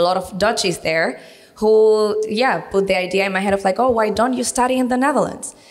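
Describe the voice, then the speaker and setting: Noticeable background noise sits behind a woman talking at a moderate pace. Her pitch moves in an ordinary way. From Venezuela. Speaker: university recruitment coordinator. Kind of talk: interview on local TV.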